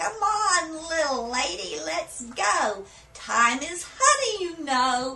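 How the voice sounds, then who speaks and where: A woman puts on a character voice, pitched high, talking at a very slow pace as her pitch swings very widely. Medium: read story. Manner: folksy, cheerful.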